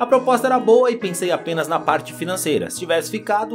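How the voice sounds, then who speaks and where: Music plays in the background while the speech moves at a fairly quick pace. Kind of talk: football story narration. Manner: casual, conversational.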